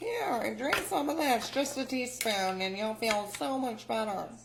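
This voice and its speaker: A put-on character voice, female-sounding and fairly high for a woman, at a fairly slow pace over clear background noise. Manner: caring, doting.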